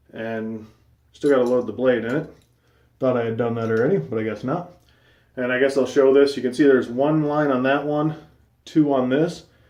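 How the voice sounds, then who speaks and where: A man of medium pitch speaks with long, frequent pauses, his voice carrying audible room echo. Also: ordinary pitch variation, moderate pace. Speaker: shaving video vlogger. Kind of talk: casual vlog monologue.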